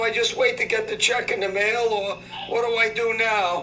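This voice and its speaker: A man speaks in a raised, projected voice at an extremely high pitch, with monotone, flat intonation at a moderate pace. Noticeable background noise and audible room echo surround him. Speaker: scam baiter. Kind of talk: prank phone call. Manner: angry and loud.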